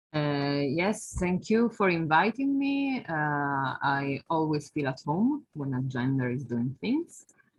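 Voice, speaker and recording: A woman's very deep, low voice, very slow in pace with hardly any pauses and lively intonation. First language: Italian. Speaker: academic researcher. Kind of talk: online talk.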